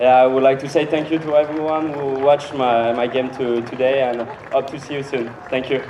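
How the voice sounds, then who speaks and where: Over noticeable background noise and audible room echo, a man with a French accent talks at a fairly quick pace in a medium pitch with monotone, flat intonation. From France. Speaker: tennis player. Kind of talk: post-match interview. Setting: tennis court with live crowd. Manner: halting, many fillers.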